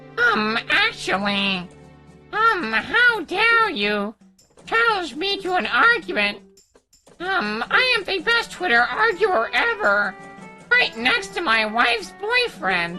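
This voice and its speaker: Putting on a character voice, a man speaks at an extremely high pitch with very wide pitch swings and a fairly slow pace, faint music playing in the background. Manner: smug.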